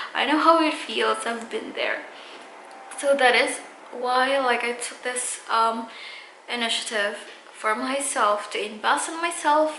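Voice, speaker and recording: A high-pitched woman's voice at a fairly slow pace, with ordinary pitch variation, long, frequent pauses, noticeable background noise, and audible room echo. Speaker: beauty vlogger. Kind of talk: casual vlog talk to camera. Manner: halting, many fillers.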